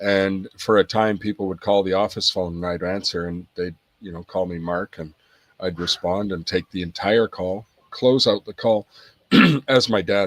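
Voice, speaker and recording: A man with a slight Irish accent speaks at a moderate pace in a fairly low voice with fairly even intonation. The recording is very clean, with a silent background and a dry, close sound with no echo. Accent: slight Irish twang. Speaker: podcast guest, business owner. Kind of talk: casual interview chat. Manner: hesitant, many fillers.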